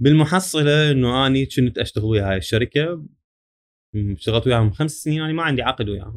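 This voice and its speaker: Using a normal speaking voice, a man speaks at a moderate pace and medium pitch with lively intonation. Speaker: electrical service engineer. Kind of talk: casual interview chat.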